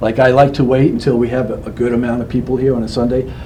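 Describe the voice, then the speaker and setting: Amid noticeable background noise and audible room echo, a man with a medium pitch speaks at a fairly quick pace. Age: 60s. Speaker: local guitarist and performer. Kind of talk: casual interview chat.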